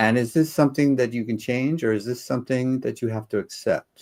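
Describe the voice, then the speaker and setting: Moderate-paced speech from a man in a normal speaking voice with ordinary pitch variation. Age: 60s. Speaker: co-host of a Q&A chat show. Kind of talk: casual chat.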